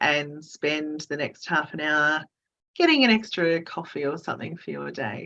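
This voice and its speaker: Speaking at a moderate pace with an Australian accent, a woman has a very deep, low pitch, ordinary pitch variation and a bright, sharp tone. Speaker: recruitment director. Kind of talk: webinar presentation Q&A.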